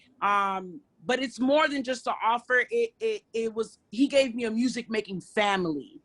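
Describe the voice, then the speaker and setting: A woman with a New York accent, fairly high in pitch, at a fairly slow pace. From New York, Brooklyn. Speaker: hip hop artist. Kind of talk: interview. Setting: nightclub.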